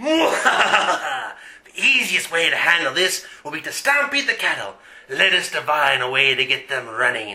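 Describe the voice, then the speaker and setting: A man performs a put-on character voice. It is pitched high. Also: moderate pace. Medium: audio drama. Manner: blustering, irritable.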